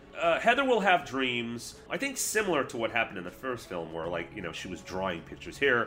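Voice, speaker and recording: Over noticeable background noise, a man speaks very fast in a medium pitch, with hardly any pauses, very wide pitch swings and big swings in loudness. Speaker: podcast guest, film reviewer. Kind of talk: casual chat.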